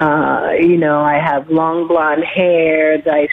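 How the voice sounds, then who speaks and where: A woman's very deep, low voice at a very slow pace, monotone and flat in intonation, with noticeable background noise. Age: 60s. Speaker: caller. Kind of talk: phone-in question. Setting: phone call. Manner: halting, many fillers.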